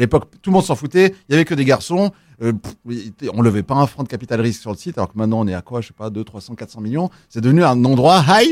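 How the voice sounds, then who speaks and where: With very wide pitch swings at a medium pitch, a man talks at a very fast pace, and the sound is dry and close with no echo. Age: 40s. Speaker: student radio co-founder. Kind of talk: casual chat.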